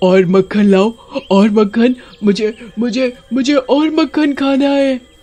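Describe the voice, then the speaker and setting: A man puts on a cartoonish character voice at an extremely high pitch. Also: moderate pace. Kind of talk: animated children's horror story narration. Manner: scary, eerie.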